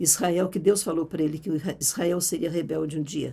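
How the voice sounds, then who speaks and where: A woman's voice with a dark, mellow tone. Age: 80s+. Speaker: Bible teacher. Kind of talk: Bible teaching talk.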